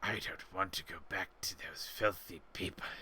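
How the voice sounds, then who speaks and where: A man uses a raspy, put-on character voice at a moderate pace. Background noise is clearly heard. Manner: dismissive, contemptuous.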